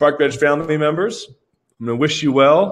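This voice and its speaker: A man talks in an animated tone at a fairly high pitch. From Vancouver, Canada. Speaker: company founder hosting product webinar. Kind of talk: live webinar product demo. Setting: live stream with webcam.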